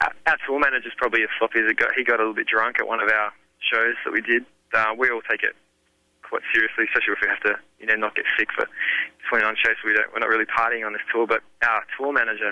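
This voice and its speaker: A man with an Australian accent, medium pitch, monotone, flat intonation and a very fast pace. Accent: thick Australian. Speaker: rock band singer. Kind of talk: interview. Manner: casual.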